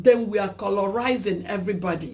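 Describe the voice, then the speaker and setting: Speaking at a fairly slow pace with a Nigerian accent, a woman shows vocal fry and ordinary pitch variation, and audible room echo surrounds her voice. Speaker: talk show host. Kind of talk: solo monologue vlog. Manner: emphatic, repetitive.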